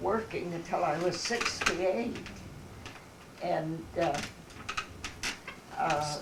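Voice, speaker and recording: A woman with a fairly low pitch speaks at a very slow pace. Noticeable background noise and audible room echo surround her voice. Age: 80s+. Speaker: elderly interviewee recalling her life. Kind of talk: casual family conversation. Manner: halting, with many fillers.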